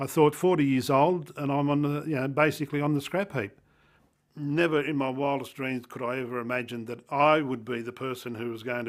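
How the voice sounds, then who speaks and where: The speaker is a man with an Australian accent. He talks at a fairly quick pace. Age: 60s. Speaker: person sharing lived experience of illness. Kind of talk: personal testimony interview. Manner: hesitant, many fillers.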